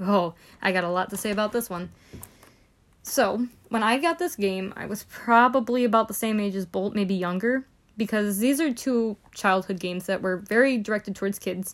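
A woman talks at a moderate pace in an unremarkable speaking voice. Her pitch is medium with ordinary variation. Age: 20s. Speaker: gaming podcast host. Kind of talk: casual solo talk.

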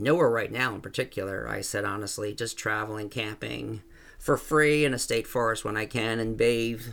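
At a fairly quick pace, an ordinary speaking voice shows ordinary pitch variation on a very clean recording with a silent background. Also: man. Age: 50s. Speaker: short story author. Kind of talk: reading aloud own story.

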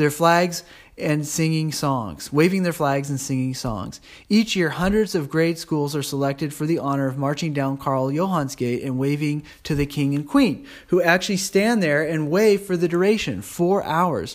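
A man with a plain, everyday voice speaks at a fairly high pitch. His pace is moderate and his pitch variation ordinary. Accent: American. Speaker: travel diarist. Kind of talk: reading aloud; casual chat.

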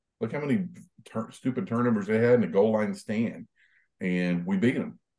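With an American accent, a man talks at a moderate pace in a fairly low pitch and a dark, mellow tone. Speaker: sports podcast panelist. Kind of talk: casual chat.

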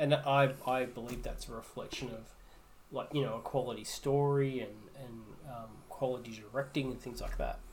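In a somewhat breathy, medium-pitched voice, a man speaks at a moderate pace in a flat monotone with big swings in loudness and audible room echo. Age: 30s. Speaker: podcast co-host. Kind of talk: casual chat.

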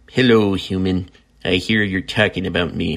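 A man's put-on character voice, very deep and low in pitch, at a moderate pace. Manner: haughty, playful.

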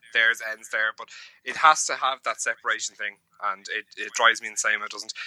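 A man speaks fairly quickly, recorded with a dry, close sound that carries no echo. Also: big swings in loudness. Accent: Irish. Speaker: podcast co-host. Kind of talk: casual chat.

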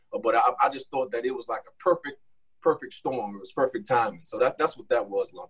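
A man with an American accent at a very fast pace, with big swings in loudness. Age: 40s. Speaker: college basketball coach. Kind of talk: casual chat.

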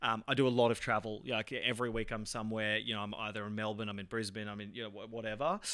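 A man with an Australian accent talks at a very fast pace, his intonation fairly even. The tone is bright and sharp, on a very clean recording with a silent background. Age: 30s. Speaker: entrepreneur. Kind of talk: interview. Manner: fast talker.

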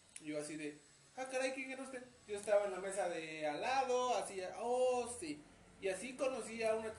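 The voice moves at a moderate pace with ordinary pitch variation. Audible room echo and noticeable background noise are present. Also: man. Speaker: wheelchair user sharing life story. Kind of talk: casual interview.

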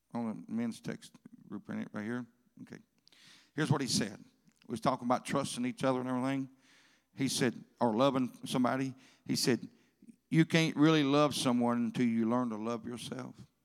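A man with a Southern US accent speaks at a fairly quick pace and medium pitch, with ordinary pitch variation. His loudness swings widely, and he takes long, frequent pauses. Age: old. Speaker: pastor. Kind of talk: sermon. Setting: church.

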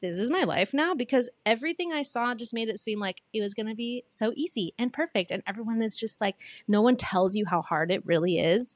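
A plain, everyday voice with lively intonation at a moderate pace, dry and close with no echo, in a very clean recording over a silent background. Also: woman. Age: 20s. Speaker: social media manager and singer. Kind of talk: casual chat.

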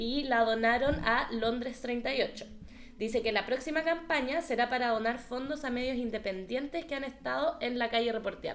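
At a moderate pace, a woman with a Chilean accent speaks in a high pitch with ordinary pitch variation. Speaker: podcast host. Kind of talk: casual chat.

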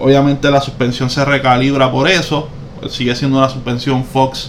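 The voice comes through with audible room echo and noticeable background noise. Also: man. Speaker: car podcast co-host. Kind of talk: casual chat.

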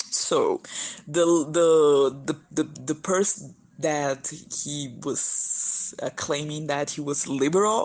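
Speaking at a very slow pace, a woman with a Brazilian Portuguese accent uses a very deep, low pitch and fairly even intonation. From northeast Brazil, São Luís. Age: 20s. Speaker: student and diversity activist. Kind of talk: recorded voice message. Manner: halting, repeated words.

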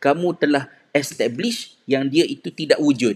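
A man's fairly high pitch with lively intonation at a fairly slow pace. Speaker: religious teacher. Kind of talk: religious talk. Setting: live stream. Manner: halting.

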